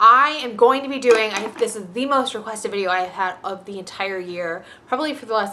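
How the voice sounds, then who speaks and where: In a normal speaking voice, a woman talks at a moderate pace, her pitch fairly high with ordinary variation. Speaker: beauty vlogger. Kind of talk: casual product review vlog.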